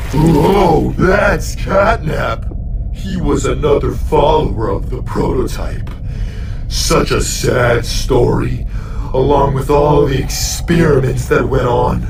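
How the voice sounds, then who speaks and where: Over loud background noise with slight echo, a man uses a put-on character voice at a fairly slow pace. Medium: machinima. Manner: folksy, friendly.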